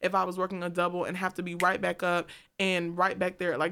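Talking very fast, a woman delivers her words in a monotone, flat intonation at a fairly low pitch. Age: 20s. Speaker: recent college graduate. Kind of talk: casual chat.

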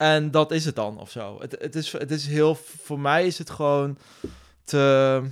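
Fairly high in pitch, a man talks here. His pace is very slow. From Netherlands, Nijmegen. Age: 40s. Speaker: bootcamp business owner. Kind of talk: interview. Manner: energetic; halting, many repetitions.

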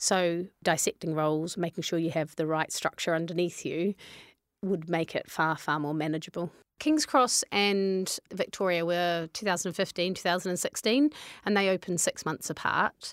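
A woman with a New Zealand accent speaks at a moderate pace and a fairly low pitch, with ordinary pitch variation. The sound is dry and close, with no echo. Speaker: fitness business co-founder. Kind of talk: interview.

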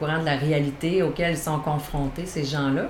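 A woman with a very deep, low pitch speaks at a fairly slow pace, with noticeable background noise and audible room echo. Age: 40s. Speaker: naturotherapist and caregiver support worker. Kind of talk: interview.

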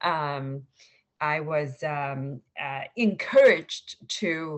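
A woman's very deep, low voice with a Chinese accent and fairly even intonation. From China (Suzhou, Shanghai). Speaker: venture capital investor. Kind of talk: interview. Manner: halting, many fillers.

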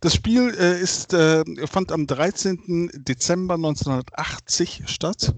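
A man speaks at a very slow pace with a high pitch and ordinary pitch variation. His loudness stays very even against a quiet background. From Germany, Bergisch Gladbach near Cologne. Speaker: football fan. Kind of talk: casual chat.

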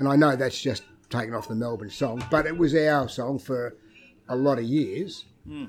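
The speaker talks at a moderate pace in an Australian accent, with ordinary pitch variation. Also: man, medium pitch for a man. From Victoria, Australia (Ocean Grove). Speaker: retired footballer and club figure. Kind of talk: casual storytelling interview. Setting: restaurant.

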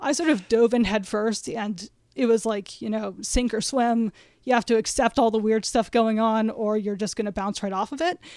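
Against a quiet background, a woman speaks at a moderate pace in an unremarkable speaking voice, her fairly high pitch showing ordinary variation. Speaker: podcast guest, film fan. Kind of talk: casual chat.

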